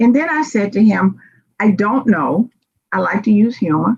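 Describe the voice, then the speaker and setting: A woman's fairly high voice with vocal fry, in a Southern US accent, at a moderate pace. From US South, Memphis Tennessee. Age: 60s. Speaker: diversity and inclusion speaker. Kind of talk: conference presentation. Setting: virtual conference.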